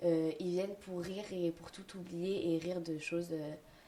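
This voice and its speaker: This woman's medium-pitched voice keeps fairly even intonation, with noticeable background noise underneath. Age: 20s. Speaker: comedian. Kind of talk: interview. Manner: halting.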